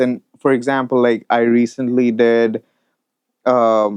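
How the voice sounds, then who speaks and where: A man talks at a medium pitch. The sound is dry and close, with no echo. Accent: Indian. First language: Hindi. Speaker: audio mixing engineer. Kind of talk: interview conversation.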